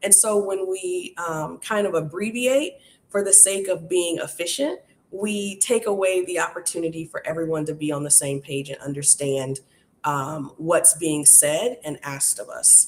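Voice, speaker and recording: This woman has a plain, everyday voice with a fairly low pitch. She keeps a moderate pace and ordinary pitch variation. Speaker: workshop host.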